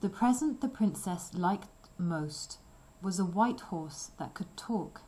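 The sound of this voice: The speaker reads in an unforced voice.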